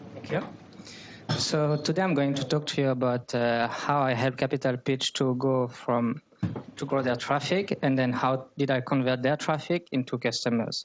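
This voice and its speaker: Against noticeable background noise, a man speaks at a moderate pace and a medium pitch with fairly even intonation. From France (Paris). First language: French. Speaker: growth marketer. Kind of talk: talk at a meetup. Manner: hesitant, with frequent fillers.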